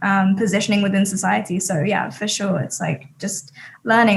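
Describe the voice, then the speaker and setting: A woman is speaking. Her voice has vocal fry. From England, Sussex. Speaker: talent agency CEO. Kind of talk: casual chat.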